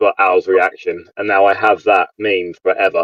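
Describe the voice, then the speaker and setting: A man with an English accent at a moderate pace, in a dry, close sound with no echo. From England. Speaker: YouTube trading card streamer. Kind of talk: casual chat.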